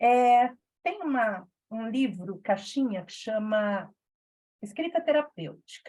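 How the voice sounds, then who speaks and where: Speaking at a fairly high pitch in a dark, mellow, somewhat breathy tone, a woman uses lively intonation and big swings in loudness at a very slow pace with long, frequent pauses. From Brazil, São Paulo interior (Campinas region). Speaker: reading club facilitator. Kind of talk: casual small-group reading session.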